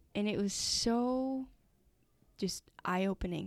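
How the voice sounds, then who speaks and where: A woman with an American accent, in a very clean recording over a silent background. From Utah, US. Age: 20s. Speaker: engineering student. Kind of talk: testimony.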